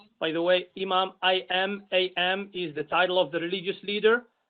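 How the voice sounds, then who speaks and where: A man speaks with an Arabic accent at a moderate pace. His high-pitched voice stays monotone and flat. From Algeria. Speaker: imam, commission member. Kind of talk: self-introduction at public meeting.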